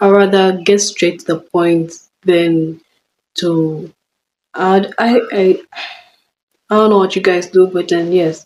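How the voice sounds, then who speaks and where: A woman speaks in a monotone, flat intonation. Her pitch is medium. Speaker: vlogger. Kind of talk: casual chat. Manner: halting.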